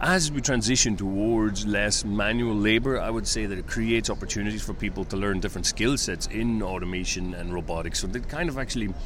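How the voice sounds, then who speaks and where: In an Irish accent, a man with fairly low pitch and ordinary pitch variation talks at a fairly quick pace with hardly any pauses, with noticeable background noise and audible room echo. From Ireland. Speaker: company president in medical automation. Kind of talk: interview.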